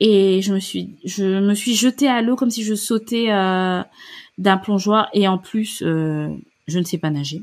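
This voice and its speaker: On a very clean recording with a silent background, a woman speaks at a very slow pace, with a medium pitch and ordinary pitch variation. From Gabon. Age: 30s. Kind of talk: interview. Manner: hesitant.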